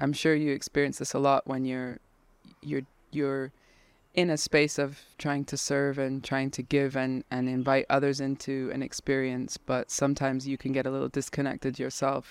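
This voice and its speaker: The speech moves at a moderate pace with monotone, flat intonation. The recording is very clean, with a silent background and a dry, close sound with no echo. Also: woman, very deep, low pitch for a woman. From raised in a Krishna devotee community. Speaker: kirtan leader and singer. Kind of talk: casual chat.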